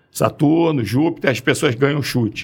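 An unremarkable speaking voice from a man, with lively intonation at a fairly quick pace. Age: 60s. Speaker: forensic doctor and orthopedic surgeon. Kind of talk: podcast interview.

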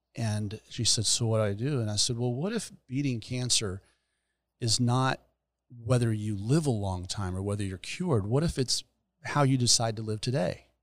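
A normal speaking voice with an American accent moves at a moderate pace with ordinary pitch variation. The recording is very clean, with a silent background. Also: man, medium pitch for a man. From US South, Gainesville, north central Florida. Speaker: hospice chaplain and veteran pastor. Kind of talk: casual chat. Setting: studio.

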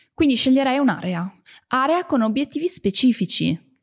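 A woman with an unremarkable speaking voice, fairly quick pace and ordinary pitch variation, dry and close with no echo, on a very clean recording with a silent background. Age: 30s. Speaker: personal growth podcast host. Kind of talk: casual monologue.

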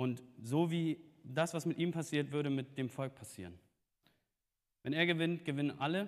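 Pausing long and often, a man speaks at a moderate pace in a fairly high pitch with lively intonation. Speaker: preacher. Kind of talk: sermon. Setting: church.

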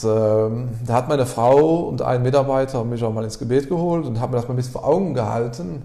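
A medium-pitched man with hardly any pauses, amid audible room echo and noticeable background noise. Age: 30s. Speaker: car garage owner. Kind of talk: interview.

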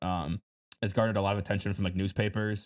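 Talking at a very fast pace with a Michigan accent, a man with a fairly low voice sounds dry and close with no echo, on a very clean recording with a silent background. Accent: Midwestern American (Michigan). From Detroit downriver area, Michigan. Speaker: film podcast co-host. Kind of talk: casual chat.

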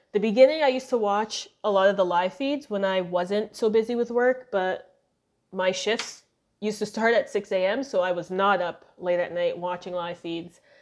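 Her pitch is medium, with ordinary pitch variation. The woman speaks at a moderate pace. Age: 20s. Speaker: podcast host. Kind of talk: casual chat. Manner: animated.

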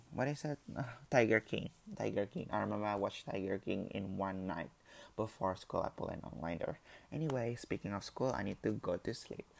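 Fairly low-pitched man with vocal fry, lively intonation and a fairly quick pace. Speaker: solo podcaster. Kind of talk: casual monologue. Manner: halting.

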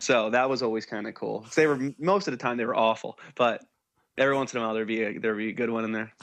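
With an American accent, a man talks very fast in a fairly even intonation. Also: medium pitch for a man. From New Jersey, US. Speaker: musician. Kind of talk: casual chat.

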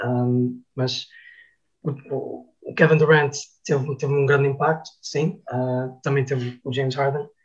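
With music in the background, a man with a fairly high pitch talks at a fairly slow pace and fairly even intonation. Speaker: basketball commentator. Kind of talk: casual chat. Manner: halting.

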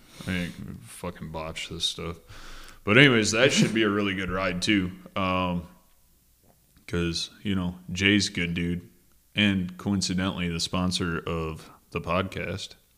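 A man with an Upper Peninsula Michigan accent speaks at a very deep, low pitch with a bright, sharp tone, fairly even intonation, and a fairly slow pace full of long, frequent pauses. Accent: Michigan Upper Peninsula (Yooper). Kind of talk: casual chat. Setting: studio.

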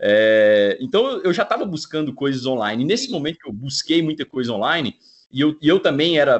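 Lively in intonation, a man with a fairly high pitch speaks at a moderate pace in an unremarkable speaking voice. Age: 30s. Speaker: network marketing entrepreneur. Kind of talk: podcast interview.

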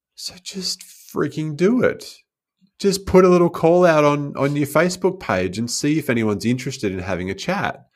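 Recorded very cleanly against a silent background, a man with an Australian accent speaks at fairly high pitch with very wide pitch swings. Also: moderate pace. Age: 40s. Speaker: life coach and speaker. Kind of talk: podcast interview.

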